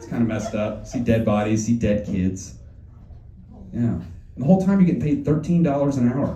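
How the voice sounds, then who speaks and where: Amid audible room echo, a man talks at a fairly quick pace in a fairly low pitch, with lively intonation. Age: 20s. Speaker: stand-up comedian. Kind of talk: stand-up. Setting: stage with audience.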